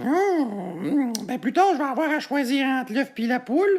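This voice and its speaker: A put-on character voice comes through at a high pitch and a moderate pace. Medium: dub.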